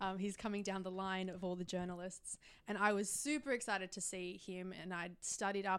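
Speaking at a fairly quick pace, a woman uses fairly even intonation. She has an Australian accent and a medium pitch. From Australia, Melbourne. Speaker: YouTuber and film reviewer. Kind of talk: casual chat. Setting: hotel room.

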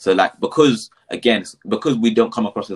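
Dry and close with no echo, a very clean recording with a silent background captures a man with a London accent talking at a fairly quick pace. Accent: Multicultural London English. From London, England. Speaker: mental health practitioner. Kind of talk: casual chat. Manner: articulate.

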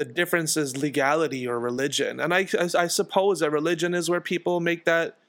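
A man with a New York accent at a moderate pace and ordinary pitch variation, in a very clean recording with a silent background. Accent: New York American. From US, Queens, New York. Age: 20s. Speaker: musician. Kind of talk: casual chat. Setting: home.

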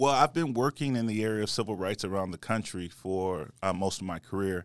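With an American accent, a man talks at a fairly quick pace in an ordinary speaking voice on a very clean recording with a silent background. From California. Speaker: civil rights attorney and political candidate. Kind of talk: interview.

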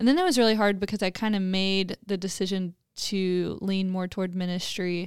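A woman speaks at a moderate pace and medium pitch, monotone with flat intonation, on a very clean recording with a silent background. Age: 20s. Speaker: church ministry apprentice. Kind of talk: casual chat.

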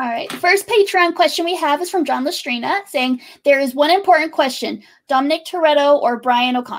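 Talking at a fairly quick pace, a woman speaks in a high pitch. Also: ordinary pitch variation. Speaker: moderator reading chat questions. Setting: video call.

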